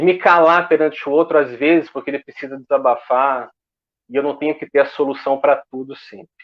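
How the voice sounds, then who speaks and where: A man talks in a fairly high voice with a slight Goiás accent and ordinary pitch variation. His loudness swings widely. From Goiás, Brazil. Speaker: association representative. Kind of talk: online panel debate. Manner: slow.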